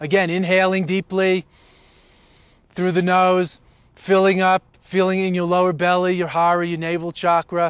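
This is a man speaking. His pitch is high. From United States. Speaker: meditation teacher. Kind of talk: guided meditation. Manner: gentle, unhurried, soothing; warm, playful, encouraging.

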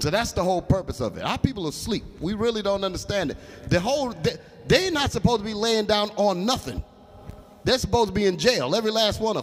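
Talking at a very fast pace, a man uses a high voice with ordinary pitch variation. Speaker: religious teacher. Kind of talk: bible class. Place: hall. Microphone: handheld.

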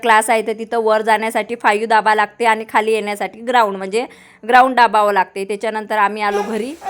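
A woman speaks in a fairly high pitch. Her intonation stays flat and monotone. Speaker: family vlogger. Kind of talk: casual vlog talk to camera. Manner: loud.

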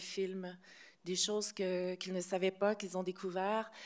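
In monotone, flat intonation, a woman speaks at a moderate pace. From Quebec. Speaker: film director. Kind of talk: press conference; interview answer. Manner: hesitant, many fillers. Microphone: podium.

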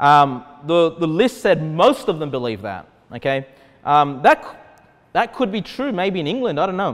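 This man speaks at a moderate pace with an Australian accent. His voice is high-pitched and makes very wide pitch swings. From Australia, Sydney. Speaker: pastor. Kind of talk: sermon. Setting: church. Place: hall.

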